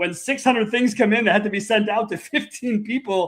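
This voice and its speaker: Speaking very fast, a man uses a high-pitched voice and an animated tone. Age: 40s. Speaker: podcast host. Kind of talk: casual interview chat.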